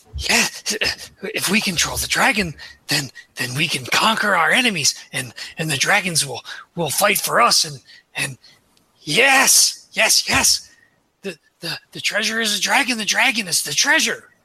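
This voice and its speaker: A raspy, put-on character voice sits at a middle pitch. It moves at a fairly slow pace with long, frequent pauses. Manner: eager, fervent.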